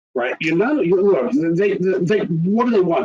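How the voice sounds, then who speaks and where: A man with an American accent, fairly quick in pace, his pitch swinging very widely. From rural Texas. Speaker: tax preparer. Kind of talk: webinar presentation.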